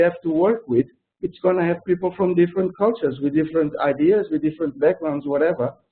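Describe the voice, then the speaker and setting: With a Portuguese accent, this man talks at a fairly quick pace in a high pitch. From Portugal. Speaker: project manager. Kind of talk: webinar interview. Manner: halting, many restarts.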